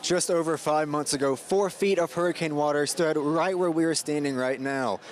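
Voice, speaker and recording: Over noticeable background noise, a man speaks at a fairly quick pace in a fairly high pitch. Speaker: news reporter. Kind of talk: TV news reporter stand-ups and packages.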